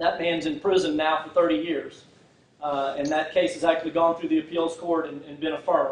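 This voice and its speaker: Noticeable background noise surrounds this recording. A man with a Texan accent speaks at a high pitch. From Texas, Fort Worth. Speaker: prosecutor and political candidate. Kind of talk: campaign speech. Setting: public forum without microphone. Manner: halting, many fillers.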